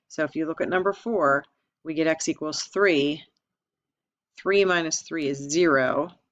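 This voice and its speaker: A woman talks at a fairly slow pace. Her pitch sits fairly low, with ordinary variation. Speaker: math teacher. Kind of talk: lecture.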